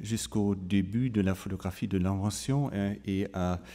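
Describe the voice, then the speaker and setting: A man with a German accent, a dark, mellow tone, fairly even intonation and a very slow pace. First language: German (speaking French). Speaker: photography curator. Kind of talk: conference talk. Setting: museum auditorium with audience. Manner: halting, many fillers.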